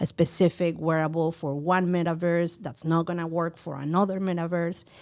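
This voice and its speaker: With a Mexican accent, a woman speaks in a fairly low, monotone voice with flat intonation at a moderate pace, on a very clean recording with a silent background. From Mexico City. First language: Spanish. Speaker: VJ, art teacher and NFT creator. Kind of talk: podcast interview.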